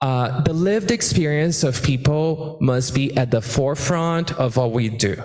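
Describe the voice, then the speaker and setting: A man with a Portuguese accent speaks at a medium, somewhat breathy pitch in an animated tone, with ordinary pitch variation, a moderate pace and audible room echo. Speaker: immigrant rights activist. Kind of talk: panel discussion. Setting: stage with audience.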